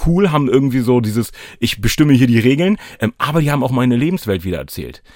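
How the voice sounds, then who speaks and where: A medium-pitched man's voice with lively intonation at a very fast pace. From Hannover, Lower Saxony (northern Germany). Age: 30s. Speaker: anti-racism trainer and rapper. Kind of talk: casual chat.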